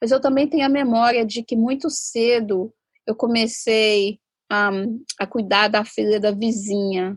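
A woman speaks in a fairly high pitch. Her intonation stays fairly even. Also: fairly slow pace. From inland southeastern Brazil. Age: 40s. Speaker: sociologist and labor activist. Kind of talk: interview testimony. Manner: halting.

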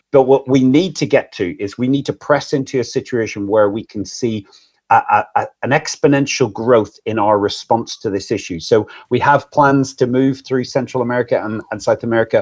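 A man with a Northern Irish accent against a quiet background. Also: medium pitch for a man, ordinary pitch variation, moderate pace. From Northern Ireland. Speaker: anti-trafficking charity leader. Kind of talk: live stream interview. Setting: live stream, video call.

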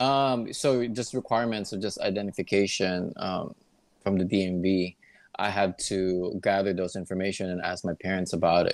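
A man with an American accent talks at a moderate pace in a very deep, low pitch. His intonation stays fairly even against a quiet background. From Philippines. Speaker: guest sharing immigration story; hospital worker. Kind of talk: casual interview. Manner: hesitant, many fillers.

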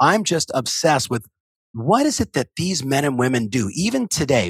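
A man speaks with an American accent and vocal fry. His pitch swings very widely. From US West Coast. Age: 50s. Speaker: real estate coach. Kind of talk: interview. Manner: fast.

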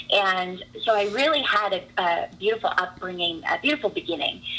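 A woman talks at a medium pitch against noticeable background noise. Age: 30s. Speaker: hair and makeup artist and faith coach. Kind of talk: casual chat. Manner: animated.

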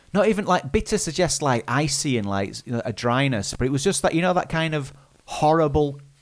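With a British accent, a man swings his pitch very widely on a very clean recording with a silent background. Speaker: podcast co-host. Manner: fast talker; fast talker, can sound garbled.

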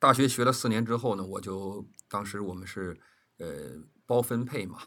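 This man's voice sits fairly low and has a bright, sharp tone. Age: 60s. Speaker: veteran television producer. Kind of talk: casual interview. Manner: halting, with frequent fillers.

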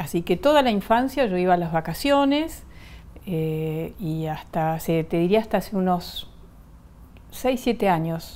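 A woman speaks at a medium pitch with very wide pitch swings, a dark, mellow tone and a fairly slow pace. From Argentina, arrived from Bolivia at age four. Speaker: political analyst. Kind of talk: TV interview.

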